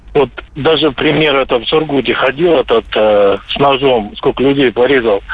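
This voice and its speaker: Noticeable background noise runs under this man's voice. He talks at a moderate pace with very even loudness. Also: medium pitch for a man, ordinary pitch variation. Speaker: radio caller. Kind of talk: call-in comment. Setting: phone call.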